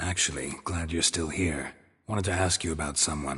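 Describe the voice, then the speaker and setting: A man puts on a character voice with a very deep, low pitch, speaking at a moderate pace. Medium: video game. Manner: terse, deadpan.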